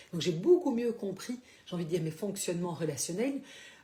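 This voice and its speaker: A woman talks fairly quickly with lively intonation and a fairly low voice. Background noise is noticeable. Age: 60s. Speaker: life coach / therapist. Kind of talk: live stream talk. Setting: Facebook live broadcast. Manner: hesitant, many fillers.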